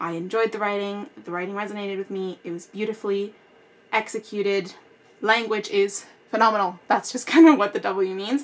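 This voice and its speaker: With big swings in loudness, a woman talks at a fairly quick pace in a medium pitch. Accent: Spanish. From Spanish-speaking country, then Canada from age seven. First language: Spanish. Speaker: book YouTuber. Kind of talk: casual tutorial to camera. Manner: animated.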